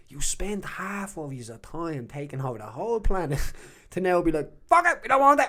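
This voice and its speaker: A man talks at a fairly quick pace in a high, bright and sharp voice that swings very widely in pitch. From Ireland, Dublin (Jobstown). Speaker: retired MMA fighter and politician. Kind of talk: casual interview chat. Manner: animated.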